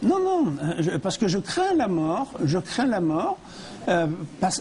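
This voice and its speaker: Over noticeable background noise, a man speaks at a fairly slow pace in a high pitch with very wide pitch swings. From France. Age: 80s+. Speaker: near-death experience survivor and speaker. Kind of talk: TV interview testimony. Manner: halting, with repetitions and hesitations.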